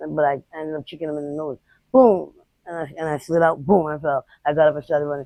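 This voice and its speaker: Her voice is very deep and low in pitch with a dark, mellow tone. The woman speaks at a very fast pace with big swings in loudness. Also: fairly even intonation. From Boston. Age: 40s. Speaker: homeless woman interviewee. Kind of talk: street interview. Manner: fast, halting with repetitions.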